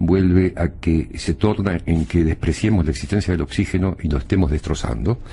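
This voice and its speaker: A man speaks with a very deep, low pitch and a dark, mellow tone, using vocal fry. He keeps a moderate pace in an Argentine accent. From Argentina, Buenos Aires. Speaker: former foreign minister, political analyst. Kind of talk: TV panel discussion. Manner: hesitant, many fillers.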